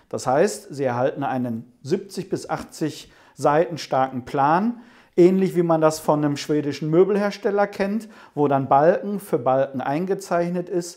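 Against a quiet background, a man with a fairly high pitch and a dark, mellow tone speaks at a fairly slow pace with lively intonation. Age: 50s. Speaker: home cinema company owner. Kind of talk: interview. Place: office.

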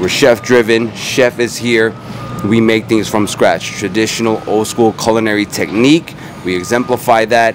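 A man talks at a moderate pace in a fairly low pitch, with music in the background and a dry sound with no echo. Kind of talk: interview answer. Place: street. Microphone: handheld.

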